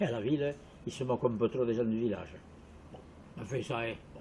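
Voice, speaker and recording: A dark, mellow tone with a somewhat breathy edge. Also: man. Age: 80s+. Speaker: village resident interviewee. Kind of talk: interview testimony.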